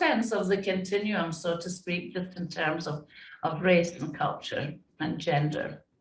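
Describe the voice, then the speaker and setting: There is audible room echo around a woman speaking at a fairly low pitch. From Scotland. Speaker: diversity and inclusion consultant. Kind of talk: interview conversation.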